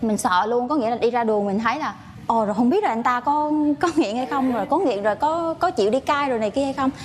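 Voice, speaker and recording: Through noticeable background noise, a high-pitched woman speaks at a very fast pace with lively intonation. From Vietnam, Quang Nam. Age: 20s. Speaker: nurse, dating show contestant. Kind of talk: casual chat. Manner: loud.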